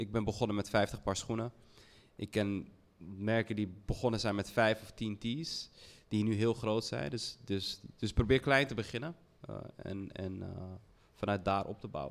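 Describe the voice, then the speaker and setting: A man speaks at a moderate pace with a fairly low pitch. He leaves long, frequent pauses. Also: ordinary pitch variation. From Netherlands, Heemskerk near Haarlem. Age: 30s. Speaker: fashion brand founder. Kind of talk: panel discussion. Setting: stage with audience.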